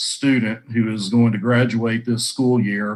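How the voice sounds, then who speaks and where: With a Texan accent, a man talks in a monotone, flat intonation at a moderate pace and medium pitch. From North Central Texas. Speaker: lawyer. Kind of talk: career talk to students. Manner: hesitant, many fillers.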